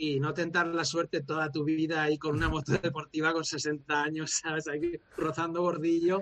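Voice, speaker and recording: A fairly high-pitched man at a moderate pace, monotone and flat, with hardly any pauses. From Valencia, Spain. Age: 40s. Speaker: former motorcycle racer and coach. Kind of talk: long-form interview.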